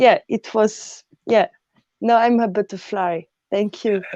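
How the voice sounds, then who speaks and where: This is a woman's voice. She speaks in a French accent. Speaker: artist. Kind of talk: panel discussion.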